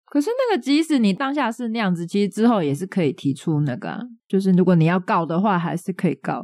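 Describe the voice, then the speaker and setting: A woman with a Taiwanese accent talks very fast at a medium pitch, her pitch swinging very widely, in a dry, close sound with no echo against a quiet background. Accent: Taiwanese Mandarin. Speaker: podcast co-host. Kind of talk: casual chat.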